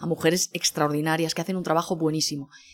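A woman talks. Behind her, music can be heard. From Spain, Barcelona. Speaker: food journalist. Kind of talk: interview conversation.

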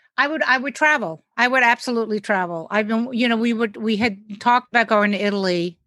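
Delivery is very fast with hardly any pauses, in a New York accent. The tone is bright and sharp. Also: woman, fairly high pitch for a woman, ordinary pitch variation. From New York City. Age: 60s. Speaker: stand-up comedian. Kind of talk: casual chat.

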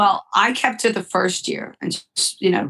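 With a plain, everyday voice, a woman speaks at a fairly slow pace, her pitch medium with ordinary variation. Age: 60s. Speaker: horse trainer and event organizer. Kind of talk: interview.

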